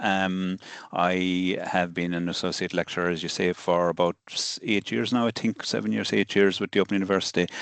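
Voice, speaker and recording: A man with an Irish accent speaks at a moderate pace and a fairly low pitch, the sound dry and close with no echo over a quiet background. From southern Ireland. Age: 60s. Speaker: solicitor and law lecturer. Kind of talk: interview conversation. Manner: hesitant, many fillers.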